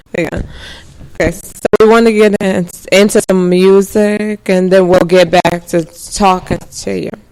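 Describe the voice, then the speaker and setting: A woman at a medium pitch talks in a monotone, flat intonation at a moderate pace, with big swings in loudness. Long, frequent pauses and noticeable background noise fill the clip. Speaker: radio host. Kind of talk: radio interview.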